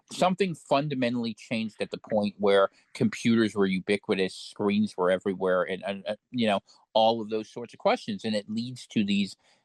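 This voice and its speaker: In an ordinary speaking voice with fairly low pitch, a man talks at a fairly quick pace with ordinary pitch variation, in a dry, close sound with no echo. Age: 40s. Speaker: podcast guest, political commentator. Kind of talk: casual chat.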